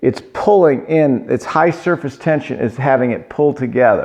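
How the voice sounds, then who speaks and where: Ordinary pitch variation at a moderate pace. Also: man. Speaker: pottery glaze teacher. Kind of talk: online lecture. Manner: casual, halting with fillers.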